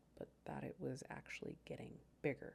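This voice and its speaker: A woman's dark, mellow tone at a moderate pace. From United States. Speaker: science educator. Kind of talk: scripted narration; casual aside.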